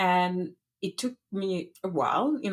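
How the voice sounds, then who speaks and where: The speaker is a woman. She talks in a French accent. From France, Paris. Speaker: podcast creator and entrepreneur. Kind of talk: interview conversation. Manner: gentle.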